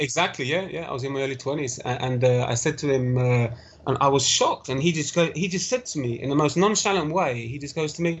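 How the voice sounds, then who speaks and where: Through noticeable background noise, a man with a fairly high pitch talks at a very fast pace with ordinary pitch variation. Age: young. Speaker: interview guest sharing health story. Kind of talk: podcast interview, personal story.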